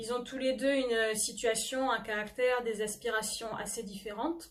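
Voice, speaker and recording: Her intonation stays fairly even. The woman's voice sits high in pitch. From France, Normandy (near Le Havre). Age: 20s. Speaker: novelist and history doctoral student. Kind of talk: book presentation to camera. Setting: self-recorded video. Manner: hesitant, frequent filler 'euh'.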